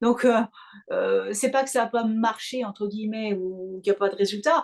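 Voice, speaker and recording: A woman speaking at a moderate pace with ordinary pitch variation. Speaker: hypnotherapist and mental coach, opera singer. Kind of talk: interview.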